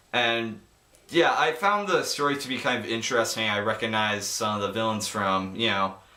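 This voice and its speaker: This man talks at a fairly quick pace with a medium pitch. His pitch varies normally, and noticeable background noise is present. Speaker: amateur movie reviewer. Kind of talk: casual video review. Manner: halting, stumbling over words.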